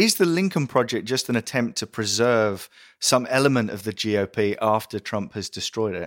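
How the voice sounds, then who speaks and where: A man speaks at a moderate pace with an English accent and ordinary pitch variation. The sound is dry and close with no echo, the recording very clean over a silent background. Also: medium pitch for a man. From England. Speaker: podcast host. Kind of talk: interview.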